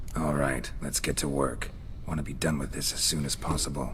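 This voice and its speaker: Over clear background noise, a man does a put-on character voice at a fairly quick pace. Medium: video game. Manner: blunt, gruff.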